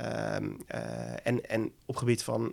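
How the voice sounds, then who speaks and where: A man's medium-pitched voice with vocal fry. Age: 30s. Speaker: entrepreneur, former professional poker player. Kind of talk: interview. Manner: halting.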